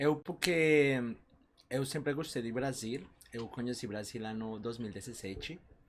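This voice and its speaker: At a fairly slow pace, a man of medium pitch speaks with a non-native accent and ordinary pitch variation. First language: not Portuguese (speaking Portuguese). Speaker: doctoral student. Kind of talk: casual chat.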